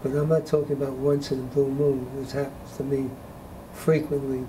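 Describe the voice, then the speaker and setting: A man's fairly high-pitched, monotone voice with flat intonation, at a moderate pace over noticeable background noise. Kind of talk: deposition testimony.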